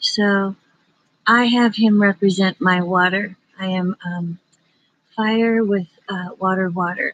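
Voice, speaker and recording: Whispering at a very slow pace with long, frequent pauses, a woman comes through in a dry, close sound with no echo. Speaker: psychic livestreamer. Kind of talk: casual livestream chat. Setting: outdoors in backyard at night.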